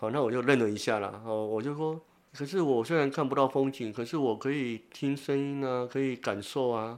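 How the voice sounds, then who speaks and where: A man with an ordinary speaking voice and a medium pitch talks at a moderate pace with ordinary pitch variation against a quiet background. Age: 50s. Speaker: blind social worker and author. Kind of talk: interview.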